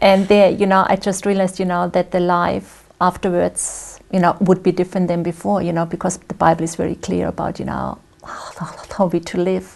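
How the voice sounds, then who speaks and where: A woman speaks with a German accent at a moderate pace and fairly low pitch. Her intonation is monotone and flat, with vocal fry. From Germany. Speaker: guest speaker sharing faith story. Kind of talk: interview testimony. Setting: studio. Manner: conversational, many fillers.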